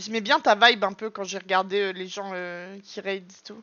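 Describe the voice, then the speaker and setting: With an animated delivery, a woman talks at neither a fast nor a slow rate. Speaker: video game streamer. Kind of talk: live gameplay commentary chatting with viewers. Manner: loud; animated, exclamatory.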